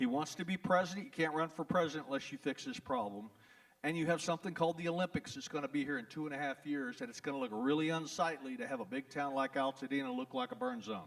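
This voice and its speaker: The speaker has a Texas accent and talks at a very fast pace. The pitch swings very widely. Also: man, fairly high pitch for a man. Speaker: trial lawyer. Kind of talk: town hall talk. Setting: event hall with audience. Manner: animated.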